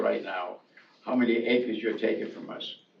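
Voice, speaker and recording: A man with an American accent speaks at a fairly quick pace. There is noticeable background noise. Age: 80s+. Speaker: landowner. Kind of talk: public meeting discussion.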